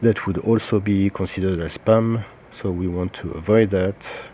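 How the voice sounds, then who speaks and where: This man speaks with a fairly low pitch and fairly even intonation. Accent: French. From France. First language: French. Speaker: social media marketing consultant. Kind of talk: tutorial. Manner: hesitant, many filler sounds.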